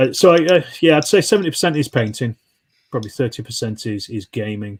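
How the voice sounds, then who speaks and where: Speaking very fast with a Yorkshire accent, a man uses a medium pitch and lively intonation. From Yorkshire, northern England. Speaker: wargaming YouTuber. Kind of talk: casual chat. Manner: halting, many fillers.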